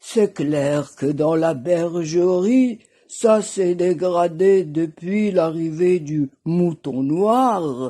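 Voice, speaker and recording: In a put-on character voice, a woman speaks at a fairly low pitch and a very slow pace. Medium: read story. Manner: sly, smooth.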